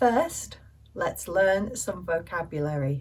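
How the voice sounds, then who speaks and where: A woman speaks very slowly in a British accent, her voice somewhat breathy and fairly low. Her pitch swings very widely. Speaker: English teacher. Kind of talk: language lesson. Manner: slow, clear.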